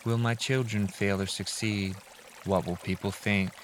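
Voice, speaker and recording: With a calm, soothing tone, a man talks fairly slowly in a fairly low voice with fairly even intonation as noticeable background noise runs beneath. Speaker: reader of relaxation videos. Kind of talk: reading aloud.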